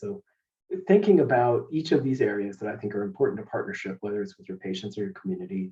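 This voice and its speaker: A man's somewhat breathy voice, dark and mellow in tone, with very wide pitch swings. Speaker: healthcare leadership presenter. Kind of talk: webinar presentation. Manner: fast.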